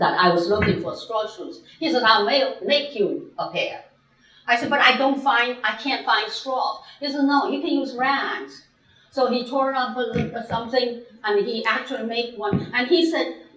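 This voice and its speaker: A woman with a Chinese accent talks at a moderate pace in a high pitch with lively intonation, amid noticeable background noise and audible room echo. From China. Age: 80s+. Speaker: guest speaker. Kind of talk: lecture.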